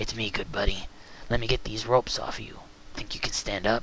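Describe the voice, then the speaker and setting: Someone soft-spoken uses a raspy, put-on character voice at a fairly quick pace, monotone and flat in intonation yet with big swings in loudness, over clear background noise. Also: man, medium pitch for a man. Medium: read story. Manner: calm, soft-spoken with comrades.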